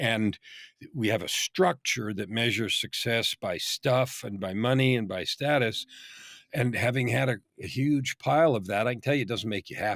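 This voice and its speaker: Recorded very cleanly with a silent background and a dry, close sound with no echo, a man with an unremarkable speaking voice talks at a moderate pace, medium pitch and ordinary pitch variation. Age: 60s. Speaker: business coach. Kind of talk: podcast interview.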